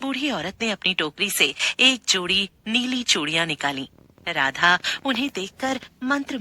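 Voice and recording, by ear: A natural voice reads the text aloud, its intonation lively throughout.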